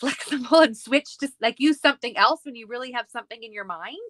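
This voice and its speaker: A bright, sharp tone at a very fast pace, with ordinary pitch variation and a dry, close sound with no echo. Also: woman. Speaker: scrapbooking crafter. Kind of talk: casual chat.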